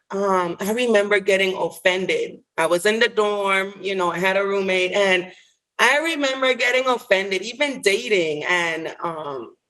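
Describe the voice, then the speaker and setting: A fairly slow, lively-toned delivery with a Caribbean accent. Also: woman. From US Virgin Islands (St. Croix). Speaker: licensed clinical social worker. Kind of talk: interview answer.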